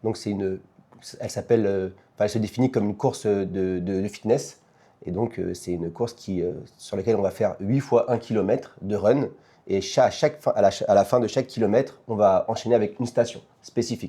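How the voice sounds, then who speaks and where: At a fairly quick pace, a man talks in a dark, mellow tone with a fairly low pitch and ordinary pitch variation. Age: 30s. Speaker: fitness competition athlete. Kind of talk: podcast interview. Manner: hesitant, many fillers.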